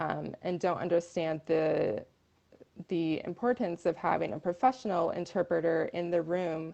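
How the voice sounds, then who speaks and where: A woman's dark, mellow voice with an American accent, vocal fry and ordinary pitch variation. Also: fairly low pitch for a woman, moderate pace. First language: American Sign Language. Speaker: deaf rights advocate. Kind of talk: interview. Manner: hesitant, many fillers.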